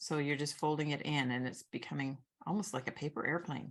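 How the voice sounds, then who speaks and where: Against a quiet background, a woman with a very deep, low voice and vocal fry talks at a fairly quick pace. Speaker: origami teacher. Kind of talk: tutorial.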